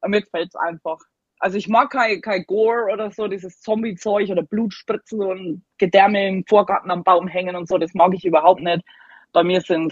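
Keeping her intonation fairly even, a woman at medium pitch talks in an ordinary speaking voice. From Germany. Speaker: Halloween decorator. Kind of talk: casual chat.

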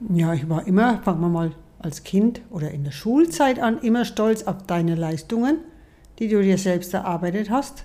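A woman's medium-pitched voice with lively intonation, a moderate pace and noticeable background noise. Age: 60s. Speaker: mother of the host. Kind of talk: casual chat. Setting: sitting together in person.

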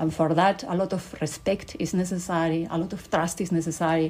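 A woman with a Spanish accent, a dark, mellow tone, fairly low pitch and a moderate pace. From Spain. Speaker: company board executive. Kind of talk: interview.

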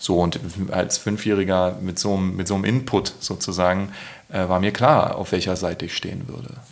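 A man's voice, very deep and low in pitch, moves at a fairly quick pace against noticeable background noise. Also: ordinary pitch variation. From Berlin, Germany. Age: 30s. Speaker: poet and author. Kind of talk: casual interview. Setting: at home.

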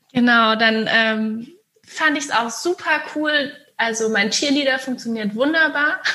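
Amid audible room echo, a woman with a high voice speaks fairly slowly at a very even loudness, with ordinary pitch variation. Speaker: hypnosis coach and psychologist. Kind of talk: casual interview chat.

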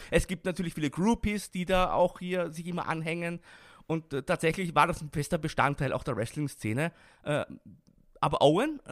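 A man speaks at a moderate pace in a high voice with ordinary pitch variation, recorded very cleanly against a silent background with a dry, close sound and no echo. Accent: Austrian. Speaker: wrestling expert and commentator. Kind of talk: interview.

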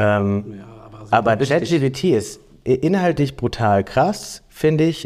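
A man at medium pitch, very slow pace and lively intonation, with very even loudness on a very clean recording against a silent background. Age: 20s. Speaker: podcast co-host. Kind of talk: casual chat.

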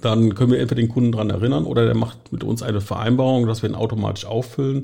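A man speaks very fast with vocal fry and a slight Rhineland accent. His pitch is medium, with ordinary variation. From western Germany, Eifel near Düren (Rhineland). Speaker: marketing head of a liquefied gas supplier. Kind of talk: interview. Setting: studio.

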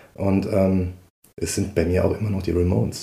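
This is a man with a dark, mellow tone. His voice is somewhat breathy. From Saarland, Dudweiler. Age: 40s. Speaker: musician and childcare worker. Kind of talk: interview. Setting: living room at home.

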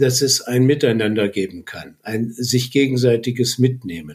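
Somewhat breathy, a man of medium pitch talks at a fairly slow pace. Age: 60s. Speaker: retired business economist and communication trainer. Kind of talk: personal testimony. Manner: halting.

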